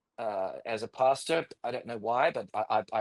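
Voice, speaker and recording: A man is speaking. The recording is very clean, with a silent background and a dry, close sound with no echo. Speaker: pastor. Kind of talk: testimony. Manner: halting.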